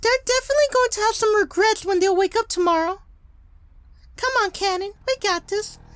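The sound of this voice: A put-on character voice, female-sounding and extremely high in pitch. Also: fairly quick pace.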